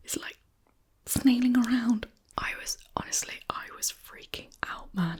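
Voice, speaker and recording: A woman is whispering at a fairly slow pace in a British accent. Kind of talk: ASMR eating video with rambling. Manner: whispered.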